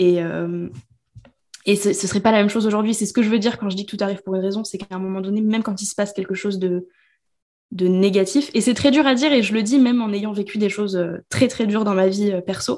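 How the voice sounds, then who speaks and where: A woman's medium-pitched voice, dark and mellow in tone, at a very fast pace with fairly even intonation. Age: 20s. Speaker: business coach. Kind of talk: casual chat.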